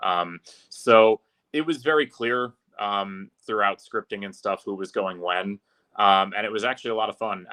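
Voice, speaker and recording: A man talks at a moderate pace and a fairly low pitch with ordinary pitch variation. His is an ordinary speaking voice. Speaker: public address announcer for a hockey team. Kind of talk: casual podcast interview answer.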